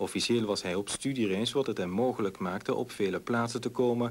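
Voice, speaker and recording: A man talks at a moderate pace and medium pitch. His intonation is fairly even. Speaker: news anchor. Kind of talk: 1989 TV news broadcast, scripted anchor delivery. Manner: formal, clear and authoritative.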